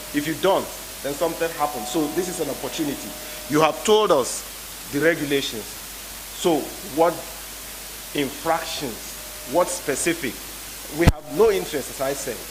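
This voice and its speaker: A man's fairly high-pitched voice at a moderate pace, with ordinary pitch variation, long, frequent pauses, audible room echo and noticeable background noise. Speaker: politician chairing hearing. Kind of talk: parliamentary hearing questioning.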